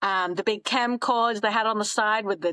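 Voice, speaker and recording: Speaking at a moderate pace with fairly even intonation, a woman with an Australian accent is heard in a dry, close sound with no echo. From Australia (Townsville, North Queensland), raised partly abroad. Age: 30s. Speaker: podcast guest, traveler in fashion. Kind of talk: casual interview chat.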